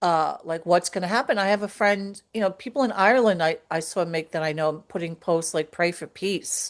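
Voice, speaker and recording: A woman in a New York accent speaks at a moderate pace with hardly any pauses. Her voice is fairly low, with ordinary pitch variation, against a quiet background. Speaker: podcast co-host. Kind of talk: casual chat. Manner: hesitant, many fillers.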